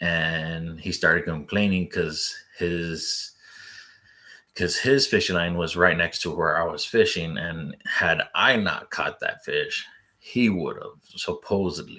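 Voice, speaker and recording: The recording is very clean with a silent background. A man speaks at a very slow pace. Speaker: fishing vlogger. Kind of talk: casual chat. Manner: monotone; soft-spoken.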